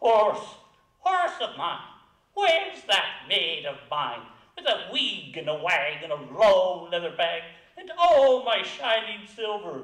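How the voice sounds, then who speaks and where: A man does a put-on character voice, raised and projected, in a high pitch with very wide pitch swings. He goes at a fairly slow pace, with a slight echo. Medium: read story. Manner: stern, commanding.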